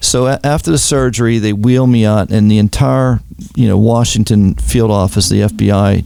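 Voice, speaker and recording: With a Pittsburgh accent, a man talks at a fairly quick pace in a fairly low pitch with ordinary pitch variation, against noticeable background noise. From Pittsburgh, Pennsylvania. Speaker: retired FBI agent. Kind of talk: interview testimony.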